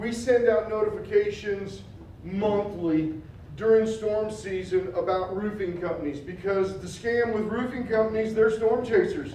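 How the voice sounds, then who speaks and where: A loud man's voice, high-pitched for a man, at a moderate pace, with audible room echo and noticeable background noise. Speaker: public outreach manager, consumer protection speaker. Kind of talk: community presentation. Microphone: mic turned down, prefers talking without it.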